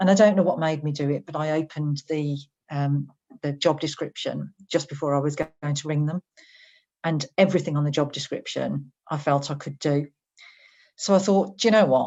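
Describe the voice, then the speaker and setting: A woman with a Birmingham accent speaks in a very deep, low voice, her intonation fairly even. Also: moderate pace. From English West Midlands, Birmingham. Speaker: HR director. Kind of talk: interview.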